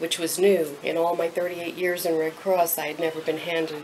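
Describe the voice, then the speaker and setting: Monotone, flat intonation runs at a moderate pace over light background noise. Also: woman. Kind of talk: interview answer. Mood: emotional, heartfelt recollection. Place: office. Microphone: camera far.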